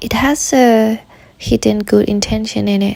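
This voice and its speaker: The speaker is soft-spoken. Noticeable background noise sits behind the voice. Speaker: meditation guide. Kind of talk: guided meditation.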